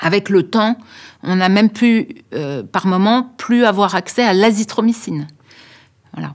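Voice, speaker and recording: Fairly slow speech from a woman, with long, frequent pauses and ordinary pitch variation. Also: medium pitch for a woman. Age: 60s. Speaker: doctor. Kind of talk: interview. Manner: hesitant, many filler sounds.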